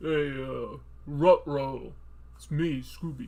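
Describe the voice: Speaking very slowly, a man uses a put-on character voice at a medium pitch.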